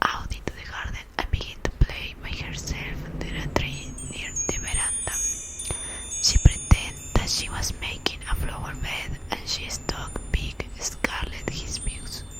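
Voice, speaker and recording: A woman with a Spanish accent whispers at a fairly slow pace, her loudness swinging widely. Noticeable background noise runs underneath. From Latin America. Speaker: ASMR content creator. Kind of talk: ASMR story reading. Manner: soft-spoken.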